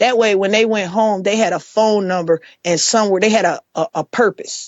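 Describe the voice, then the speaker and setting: In an ordinary speaking voice, a woman talks at a moderate pace with medium pitch and ordinary pitch variation. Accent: American. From Chicago, south side. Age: 40s. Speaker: formerly incarcerated advocate and organizer. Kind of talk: podcast interview.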